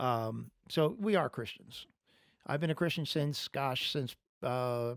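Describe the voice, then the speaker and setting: The recording is very clean, with a silent background. A man speaks at a very slow pace, fairly high in pitch with ordinary pitch variation. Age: 60s. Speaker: podcast talk show host. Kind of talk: religious talk; casual chat.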